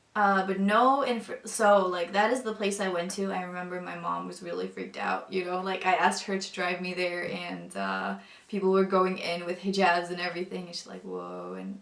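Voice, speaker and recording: A woman talks at a moderate pace with hardly any pauses and big swings in loudness. Noticeable background noise and audible room echo surround her voice. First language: non-English mother tongue. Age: 20s. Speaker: convert sharing faith story. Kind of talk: testimony. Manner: hesitant, many fillers.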